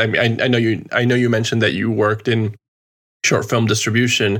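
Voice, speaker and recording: Very clean audio against a silent background, carrying a fairly low male voice. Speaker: podcast host. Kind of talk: casual chat. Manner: animated, joking.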